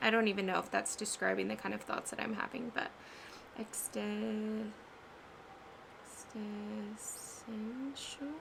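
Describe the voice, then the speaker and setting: A woman speaks at a fairly slow pace as noticeable background noise plays behind her. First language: Spanish. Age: 20s. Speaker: vlogger and ceramic artist. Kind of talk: casual vlog chat. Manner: halting on hard words.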